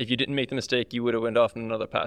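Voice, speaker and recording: In an Irish accent, a man talks at a medium pitch with monotone, flat intonation. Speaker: personal trainer. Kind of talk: casual chat.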